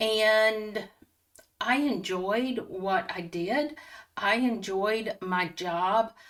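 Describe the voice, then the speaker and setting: A woman talks at a very slow pace. Her pitch is fairly high and varies in an ordinary way. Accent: Southern US. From North Carolina, near Raleigh. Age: 60s. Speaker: retiree vlogger. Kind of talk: casual personal vlog talk.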